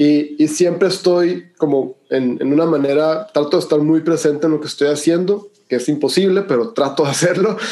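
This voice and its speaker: A man's unremarkable speaking voice, fairly high in pitch, at a moderate pace with hardly any pauses. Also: ordinary pitch variation. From Mexico, Hermosillo, Sonora. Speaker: breathwork and cold exposure instructor. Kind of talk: interview conversation.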